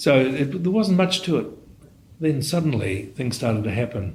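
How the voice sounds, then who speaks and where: A man with a New Zealand accent talks with lively intonation and a somewhat breathy voice, with audible room echo. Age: 70s. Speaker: radiologist. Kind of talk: interview. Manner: halting, with frequent repetitions.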